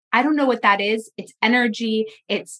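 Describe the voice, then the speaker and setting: A woman with a fairly high-pitched voice speaks at a moderate pace. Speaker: podcast host and fundraising coach. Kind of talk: interview. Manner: loud.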